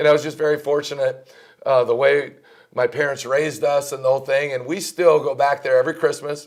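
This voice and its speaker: A man with a slight Minnesota accent, a fairly quick pace and monotone, flat intonation. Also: fairly high pitch for a man. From Minnesota, near Canadian border. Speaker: college basketball coach. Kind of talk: interview.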